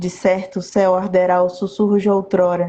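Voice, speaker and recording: A woman speaks at a medium pitch in a dark, mellow tone. Her delivery is fairly slow and monotone, with flat intonation. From southern Bahia, Brazil (Itabuna). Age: 30s. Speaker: poet. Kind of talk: casual interview chat; poetry reading. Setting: Instagram live video call.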